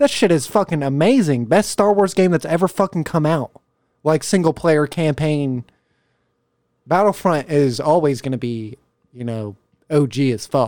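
At a moderate pace with lively intonation, the speaker pauses long and often. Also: man, fairly high pitch for a man. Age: 20s. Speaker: HVAC install driver, car audio enthusiast. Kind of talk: casual chat.

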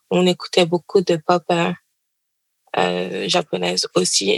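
The recording is dry and close, with no echo. The speaker is a woman. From Paris suburbs, France. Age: 20s. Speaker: doctoral student. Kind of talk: interview.

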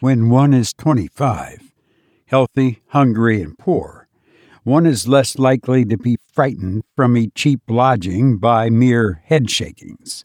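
At a fairly slow pace, an unremarkable speaking voice with ordinary pitch variation comes through in a dry, close sound with no echo. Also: man. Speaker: podcast host and narrator. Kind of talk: horror story narration, read aloud in a hushed, measured storyteller's voice; casual chat with listeners. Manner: slow, deliberate, suspenseful narration; relaxed, conversational, self-deprecating.

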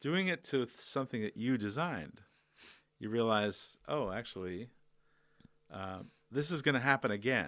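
Speaking at a fairly slow pace with long, frequent pauses, a man with a medium-pitched voice and lively intonation comes through on a very clean recording with a silent background. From northern Canada. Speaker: designer. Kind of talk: interview. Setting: in person.

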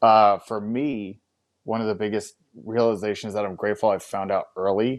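A man with an ordinary speaking voice, fairly low in pitch, at a moderate pace. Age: 30s. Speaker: fitness business co-founder. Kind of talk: casual chat.

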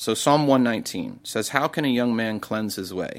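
This is a man with an ordinary speaking voice. His pitch is medium, and its variation is ordinary. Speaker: pastor. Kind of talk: testimony.

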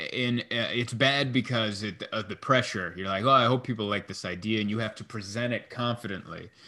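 A man's bright, sharp, medium-pitched voice at a fairly quick pace, fairly even in intonation and with hardly any pauses. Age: 30s. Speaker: comedian. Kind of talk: casual chat. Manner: halting.

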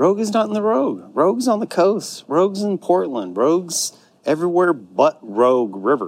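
Here a man talks at a moderate pace with a high pitch. His pitch swings very widely. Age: 40s. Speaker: podcast host. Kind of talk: casual chat. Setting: on location. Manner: animated.

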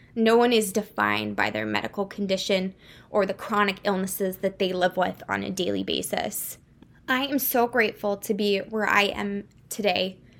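A woman's medium-pitched voice with vocal fry, fairly even intonation and a moderate pace. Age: 20s. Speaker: medical student and podcast host. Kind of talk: personal narrative monologue.

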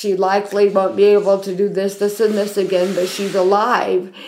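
Recorded with audible room echo, a woman with an American accent speaks at a medium pitch and a moderate pace. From US South, Athens, Georgia. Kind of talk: casual chat.

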